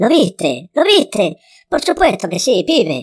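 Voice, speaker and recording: A put-on character voice, fairly high in pitch, with very wide pitch swings and a fairly slow delivery. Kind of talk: colloquial, uses 'pibe'.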